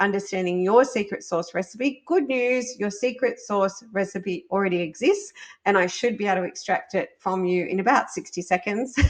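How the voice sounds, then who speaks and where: A woman speaks in an ordinary speaking voice at a moderate pace, her medium pitch rising and falling in an ordinary way. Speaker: business podcast host. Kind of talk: solo podcast monologue.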